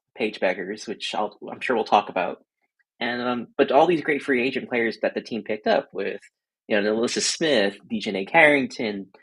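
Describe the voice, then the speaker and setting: In a very clean recording with a silent background, a man speaks with an American accent. His pitch is medium, with ordinary variation, at a moderate pace. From Boston. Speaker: sports writer. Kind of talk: casual chat.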